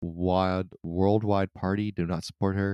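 On a very clean recording with a silent background, a man speaks slowly at a fairly low pitch with monotone, flat intonation, in a dry, close sound with no echo. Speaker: podcast co-host. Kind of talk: casual podcast chat.

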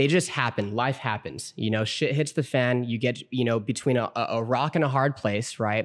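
An unremarkable speaking voice from a man of medium pitch, moving at a moderate pace with ordinary pitch variation and very even loudness. The recording is very clean, with a silent background. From Southern California. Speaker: credit repair business owner. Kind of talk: casual interview. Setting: garage studio.

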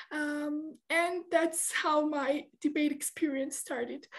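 With a Georgian accent, a woman speaks at a high pitch with fairly even intonation. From Georgia (country). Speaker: debate trainer and judge. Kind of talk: interview. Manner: halting, many fillers.

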